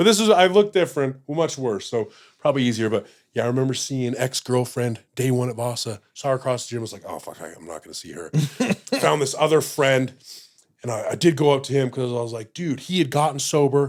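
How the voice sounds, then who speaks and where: Very fast speech in an American accent, with lively intonation and big swings in loudness. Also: man, medium pitch for a man. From Utah, US. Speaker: podcast guest in addiction recovery. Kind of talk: casual interview chat. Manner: animated.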